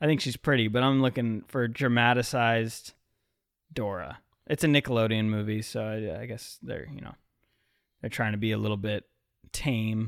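A man at a medium pitch speaks at a moderate pace with long, frequent pauses and big swings in loudness, in a very clean recording with a silent background. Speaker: podcast co-host. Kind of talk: casual comedic chat. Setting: studio, live streamed. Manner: animated.

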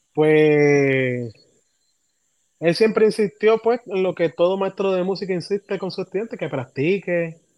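A man at a fairly slow pace, dry and close with no echo. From Puerto Rico, Humacao. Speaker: music education student and trumpeter. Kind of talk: casual interview.

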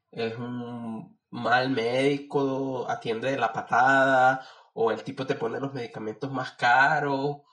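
A man at a medium pitch with a bright, sharp tone, monotone, flat intonation and a very slow pace. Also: quiet background. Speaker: biologist, doctoral candidate. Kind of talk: casual chat.

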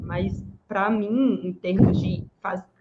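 A woman speaks at a medium pitch. She has a strong Bahian accent. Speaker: podcast co-host, exam-prep mentor. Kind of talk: casual chat.

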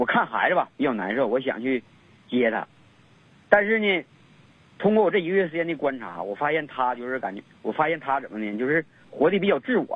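A man's fairly high voice with very wide pitch swings, a fairly quick pace and long, frequent pauses. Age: 30s. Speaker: caller. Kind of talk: phone-in advice call. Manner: halting.

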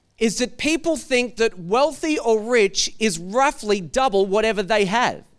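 With an Australian accent, the speaker has an animated tone and lively intonation at very even loudness. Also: man, high pitch for a man, fairly slow pace, hardly any pauses. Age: 40s. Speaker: pastor. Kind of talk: sermon.

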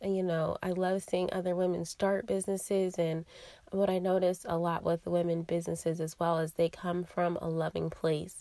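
Raspy and dark, mellow in tone, a woman's fairly low voice moves at a moderate pace with monotone, flat intonation. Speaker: podcast host, yoga teacher and wellness coach. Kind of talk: solo wellness podcast monologue.

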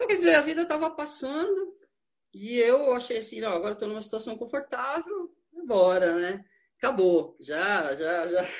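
Speaking at an extremely high pitch for a man, this man makes very wide pitch swings. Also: moderate pace. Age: 50s. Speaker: amateur runner. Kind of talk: casual interview chat. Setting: online live stream.

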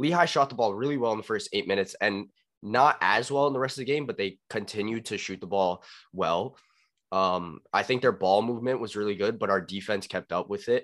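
Fairly quick and fairly low in pitch, a man talks with a normal speaking voice. The recording is very clean, with a silent background. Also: ordinary pitch variation. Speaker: podcast host. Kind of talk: casual sports podcast chat.

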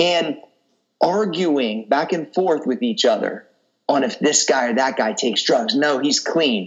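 A man speaks in an animated tone. Vocal fry runs through his voice. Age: 30s. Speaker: fitness coach and entrepreneur. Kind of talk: casual interview chat.

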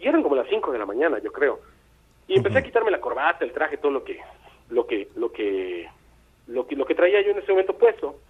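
A man talks at a very fast pace. Long, frequent pauses break up his speech. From Veracruz port, Mexico. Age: 50s. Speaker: musician. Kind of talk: phone-in storytelling. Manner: halting, repeats words.

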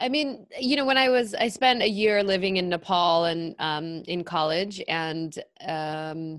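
In an ordinary speaking voice, a woman with a medium pitch talks at a fairly slow pace with lively intonation. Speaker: psychotherapist and podcast host. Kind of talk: interview conversation.

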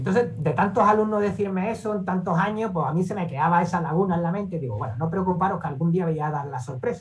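With a high pitch, a man talks at a very fast pace amid noticeable background noise and audible room echo. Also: ordinary pitch variation, hardly any pauses. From Andalusia, Seville (Spain). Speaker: investor and trading educator. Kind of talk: interview.

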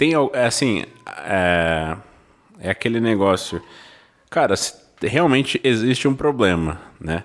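A man speaks at a very slow pace with long, frequent pauses. His fairly low pitch swings very widely. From São José do Rio Preto, São Paulo state, Brazil. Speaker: podcast co-host. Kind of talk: casual interview chat.

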